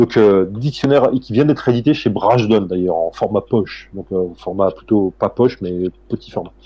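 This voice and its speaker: A man with a fairly low voice and a dark, mellow tone speaks with hardly any pauses. His pitch variation is ordinary. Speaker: historian. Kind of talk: interview. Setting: live stream on Twitch. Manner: fast; halting, many fillers.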